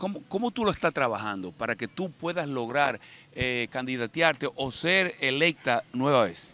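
A man's bright, sharp tone with very wide pitch swings, fairly slow pace and dry sound with no echo. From Dominican Republic, Baní. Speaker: interviewer. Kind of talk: interview. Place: garden. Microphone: handheld.

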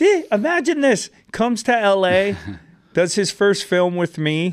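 This man talks at a fairly slow pace, his high voice carrying lively intonation. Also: very even loudness. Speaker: podcast host. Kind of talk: podcast interview, casual talk. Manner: upbeat. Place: studio. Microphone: studio mic.

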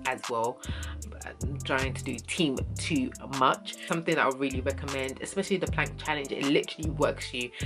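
Over clear music in the background, a woman speaks at a fairly quick pace. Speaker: fitness vlogger. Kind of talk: casual vlog chat.

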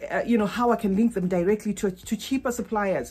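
A woman speaks at a fairly quick pace. Her voice is somewhat breathy. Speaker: fragrance vlogger. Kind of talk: casual vlog chat. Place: home room. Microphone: phone near.

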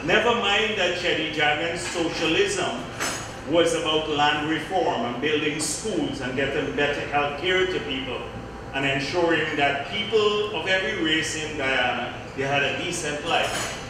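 Strong room echo and noticeable background noise surround a man speaking at a fairly slow pace with ordinary pitch variation. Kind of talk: political speech. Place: hall.

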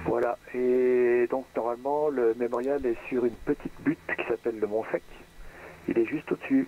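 A man speaks at a moderate pace with fairly even intonation in a dry sound with no echo. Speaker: private pilot flying in a flight simulator. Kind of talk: aviation radio phraseology. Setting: online voice chat. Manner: formal. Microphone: headset.

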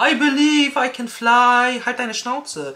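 A woman speaks at a fairly high pitch. Her tone is animated. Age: 30s. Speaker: beauty YouTuber. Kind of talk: product unboxing vlog. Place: home room.

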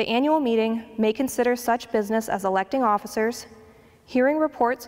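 A woman at a moderate pace, with fairly even intonation. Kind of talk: announcements. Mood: warm, calm. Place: church. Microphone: handheld.

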